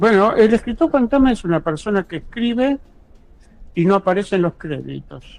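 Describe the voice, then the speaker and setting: Lively in intonation, a man speaks at a high pitch. His pace is moderate. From Buenos Aires, Argentina. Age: 70s. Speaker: ghostwriter and university lecturer. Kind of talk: interview.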